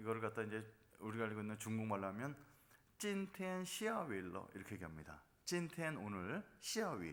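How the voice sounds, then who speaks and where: Amid audible room echo, a man with a fairly low pitch speaks at a fairly quick pace, his pitch swinging very widely. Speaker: pastor. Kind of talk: sermon.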